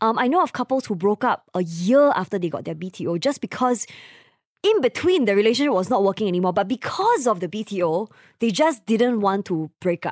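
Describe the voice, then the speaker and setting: In a very clean recording with a silent background and a dry, close sound with no echo, a woman speaks with a Singaporean accent at a fairly quick pace, using a fairly high pitch and lively intonation. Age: 20s. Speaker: podcast co-host. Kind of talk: casual chat.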